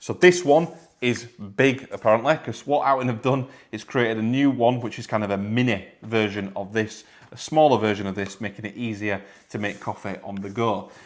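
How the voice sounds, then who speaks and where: A man in a northern English accent at medium pitch, with ordinary pitch variation, big swings in loudness and a fairly quick pace. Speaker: product reviewer. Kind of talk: product review tutorial. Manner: casual, repetitive.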